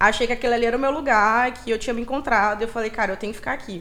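Over music in the background, a woman talks at a very fast pace in a fairly high voice with fairly even intonation. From Brazil, Maranhão (São Luís). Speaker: DJ and party collective founder. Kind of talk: casual interview.

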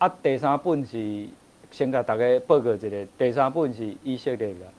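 Speaking in an ordinary speaking voice, a man keeps a moderate pace and a medium pitch that varies in an ordinary way. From Taiwan. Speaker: author and Czech culture expert. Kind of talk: interview on a livestream talk show. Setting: livestream studio.

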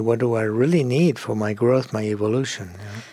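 A man with a Spanish accent speaks in a dark, mellow tone. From Argentina. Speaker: psychologist and author. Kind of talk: interview.

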